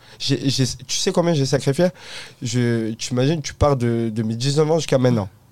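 This man has a medium pitch and ordinary pitch variation. He talks at a moderate pace. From southern France, Provence. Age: 20s. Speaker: entrepreneur. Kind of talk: casual interview. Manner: hesitant, many fillers.

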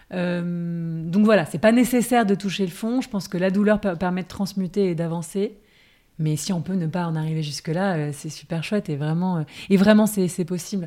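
A woman's dark, mellow tone at a medium pitch with ordinary pitch variation and a moderate pace, on a very clean recording with a silent background. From France, Paris. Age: 30s. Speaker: actress, former corporate lawyer. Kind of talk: interview, personal testimony.

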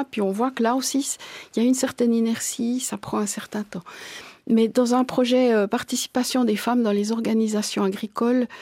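A woman talks in an ordinary speaking voice. Her pitch is fairly high and her intonation fairly even. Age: 50s. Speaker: farmers' association president. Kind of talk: interview.

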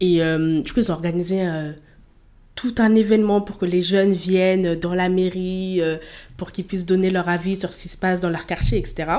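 A woman speaks with fairly even intonation in a dark, mellow tone. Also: medium pitch for a woman, moderate pace. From Paris region suburbs. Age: 20s. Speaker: student, association director. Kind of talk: casual interview.

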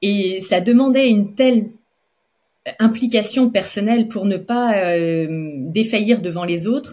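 The woman talks at a very slow pace, somewhat breathy. Her pitch is medium, with ordinary pitch variation. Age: 40s. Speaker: pastry chef and entrepreneur. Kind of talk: interview. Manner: halting.

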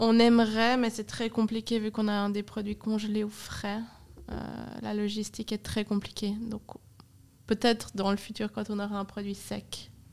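At a moderate pace, a woman speaks in a monotone, flat intonation with long, frequent pauses. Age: 20s. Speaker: ice cream company co-founder. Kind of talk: casual interview. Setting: studio in a cellar.

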